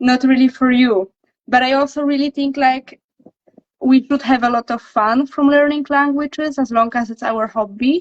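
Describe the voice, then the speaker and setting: A woman's high-pitched voice in a Polish accent, at a moderate pace with fairly even intonation. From Poland. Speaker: language coach. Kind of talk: casual chat. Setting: livestream.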